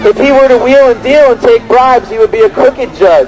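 Noticeable background noise runs under speech that shows ordinary pitch variation. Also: man. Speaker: street preacher. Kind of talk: open-air street preaching. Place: street.

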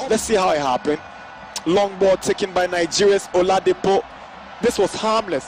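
Noticeable background noise surrounds a man with a high pitch. He speaks at a moderate pace with ordinary pitch variation. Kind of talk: football commentary.

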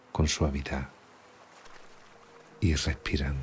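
Very deep, low male voice in a flat monotone, with music in the background. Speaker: meditation guide. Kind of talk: guided sleep meditation. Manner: soft-spoken, slow.

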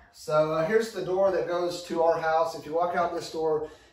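With a fairly high pitch and a slightly mellow tone, a man speaks at a moderate pace against audible room echo.

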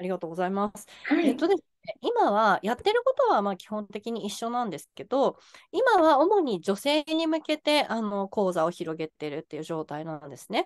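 Against a quiet background, a woman with a fairly high pitch speaks at a moderate pace, her loudness and pitch both swinging widely, the pitch very much so. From Japan. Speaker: life coach and business owner; life coach. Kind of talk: interview. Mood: friendly, polite. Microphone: video call.

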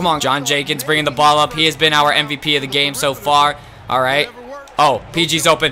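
A man's raised, projected voice with an animated tone, music playing in the background. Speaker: gaming YouTuber. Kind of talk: gameplay commentary. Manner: excitable, animated.

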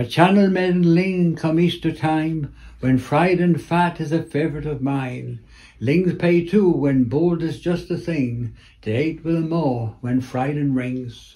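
Fairly high in pitch with ordinary variation, a man's dark, mellow voice unfolds at a fairly slow pace. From Cornwall. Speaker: retired museum curator and dialect poet; dialect poet. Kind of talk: poetry reading. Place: home room. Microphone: phone near.

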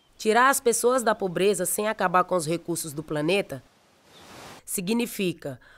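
Music plays in the background. The speaker talks at a fairly slow pace with ordinary pitch variation. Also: woman. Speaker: professional footballer. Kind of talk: public service campaign narration.

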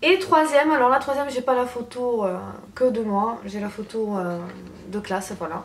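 Light background noise behind a woman's moderate pace. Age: 20s. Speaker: beauty YouTuber. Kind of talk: casual vlog. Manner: animated. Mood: cheerful, nostalgic. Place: home room. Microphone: camera far.

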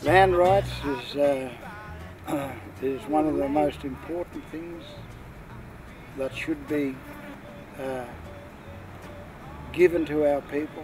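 Over noticeable background noise, a man speaks at a fairly high pitch with fairly even intonation. His pace is very slow, with long, frequent pauses. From New South Wales, Australia. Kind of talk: interview answer. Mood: earnest, serious. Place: open country.

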